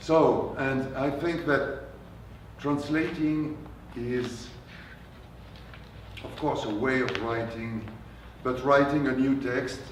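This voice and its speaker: Amid audible room echo and noticeable background noise, a man with a French accent speaks at a medium pitch and a very slow pace, with fairly even intonation and long, frequent pauses. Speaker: translator and novelist. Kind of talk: author talk with Q&A. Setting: bookstore event with audience. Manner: halting.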